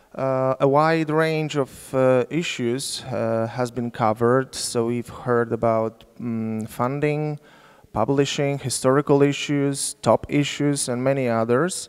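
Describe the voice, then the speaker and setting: A man with a Polish accent at a very slow pace, fairly even intonation and a quiet background. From Poland. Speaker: sociologist, symposium moderator; symposium moderator. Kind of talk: conference moderation. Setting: lecture hall with audience. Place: hall. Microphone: handheld.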